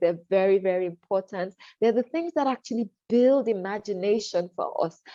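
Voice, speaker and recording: A woman's dark, mellow voice at a fairly quick pace, recorded dry and close with no echo. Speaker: storytelling presenter, English teacher. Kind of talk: webinar presentation. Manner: fast.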